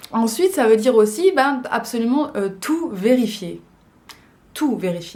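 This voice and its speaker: Her pitch fairly high, a woman speaks with lively intonation, and audible room echo is heard. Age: 20s. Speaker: vlogger. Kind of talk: casual vlog talk. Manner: hesitant, many fillers.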